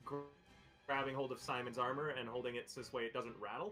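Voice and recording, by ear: Someone is reading aloud in a natural voice. The intonation is fairly even.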